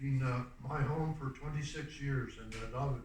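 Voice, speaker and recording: Audible room echo surrounds a man with a fairly high pitch. He keeps a moderate pace and fairly even intonation. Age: 60s. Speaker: community theatre actor sharing lived experience. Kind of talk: prepared personal talk.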